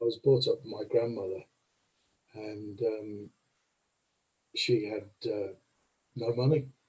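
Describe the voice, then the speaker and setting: A man's somewhat breathy, fairly slow speech with fairly even intonation, long and frequent pauses, and big swings in loudness. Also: medium pitch for a man. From Birmingham, England. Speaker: committee member. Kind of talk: casual chat.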